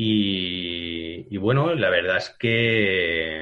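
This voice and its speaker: A man talks with fairly low pitch. His pitch varies in an ordinary way. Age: 40s. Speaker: digital ad specialist. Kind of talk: interview. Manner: halting.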